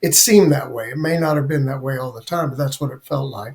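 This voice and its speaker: Somewhat breathy male speech, fairly high in pitch for a man, with ordinary pitch variation. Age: 60s. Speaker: guest sharing recovery story, Navy veteran. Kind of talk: personal testimony in interview.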